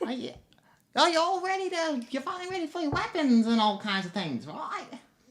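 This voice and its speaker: A man's put-on character voice, extremely high-pitched, at a fairly quick pace. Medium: actual play. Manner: cranky, hard of hearing.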